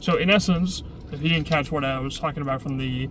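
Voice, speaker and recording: Audible room echo surrounds a man speaking at a fairly quick pace in a fairly high pitch with fairly even intonation. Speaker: vlogger. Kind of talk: casual vlog monologue. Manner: halting, many false starts.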